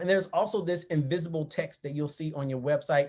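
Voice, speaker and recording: A man with an animated tone and ordinary pitch variation. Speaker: marketing agency CEO. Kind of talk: tutorial. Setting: video recording with screen share. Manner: fast.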